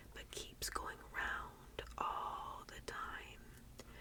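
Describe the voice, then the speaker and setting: A woman is whispering. Noticeable background noise is present. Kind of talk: whispered book reading, tingly ASMR. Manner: whispered, soft-spoken.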